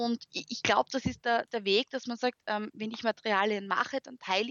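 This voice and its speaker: A woman in an Austrian accent, fairly high in pitch, at a fairly quick pace with fairly even intonation. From Austria, Graz. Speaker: university lecturer and education blogger. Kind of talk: interview.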